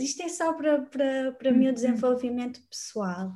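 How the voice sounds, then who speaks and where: The woman's high pitch carries a dark, mellow tone, with ordinary pitch variation at a fairly slow pace. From northern Portugal, Braga. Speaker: numerology mentor. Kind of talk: casual interview.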